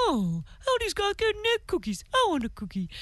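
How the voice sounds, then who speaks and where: A put-on character voice carries the lines. Its delivery moves at a moderate pace. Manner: begging for a cookie.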